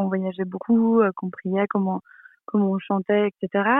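Medium in pitch, a woman's voice carries fairly even intonation. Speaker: social media creator. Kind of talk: interview. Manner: hesitant, many fillers. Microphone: poor connection.

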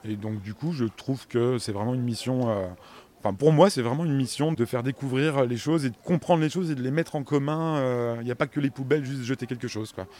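This man's tone is dark and mellow. He delivers his words at a very fast pace. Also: medium pitch for a man, ordinary pitch variation. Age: 40s. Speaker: compost workshop facilitator. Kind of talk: interview. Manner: hesitant, many fillers.

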